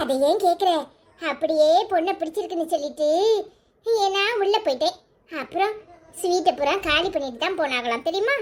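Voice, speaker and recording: A cartoonish character voice with lively intonation speaks at a moderate pace. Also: woman, extremely high pitch for a woman. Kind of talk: cartoon village comedy. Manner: scolding, forthright.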